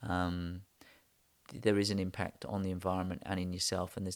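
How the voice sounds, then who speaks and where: A man's very deep, low voice in an English accent, very fast and monotone with flat intonation. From England. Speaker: architect. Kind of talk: interview. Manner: hesitant, many ums.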